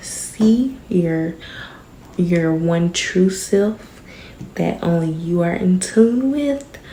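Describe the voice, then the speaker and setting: A woman speaks at a very slow pace with a fairly low pitch. Noticeable background noise can be heard. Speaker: vlogger. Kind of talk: casual vlog talk. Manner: quieter than usual, inside voice; normally loud.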